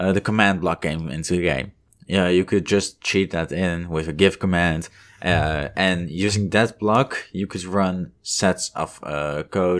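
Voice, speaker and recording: A man with a Dutch accent and a very deep, low pitch, at a fairly slow pace with fairly even intonation. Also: very clean recording, silent background. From Netherlands (northern Holland). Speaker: game development student. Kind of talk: casual chat.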